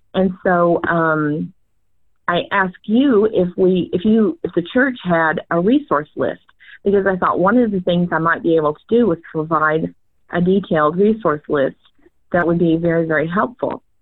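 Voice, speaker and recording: Her pitch fairly low, a woman talks at a moderate pace with ordinary pitch variation in an ordinary speaking voice. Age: 60s. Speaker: church ministry leader, retired social worker. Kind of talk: interview.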